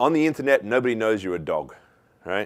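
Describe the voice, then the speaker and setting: With an Australian accent, a man speaks in very wide pitch swings. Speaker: keynote speaker, author. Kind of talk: conference talk. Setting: stage with audience.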